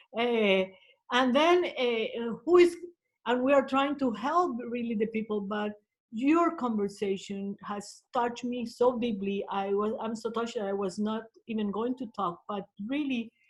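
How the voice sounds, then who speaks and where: The speaker talks in a Colombian accent. The pace is moderate. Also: woman. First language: Spanish. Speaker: social worker. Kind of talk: webinar audience comment. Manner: halting.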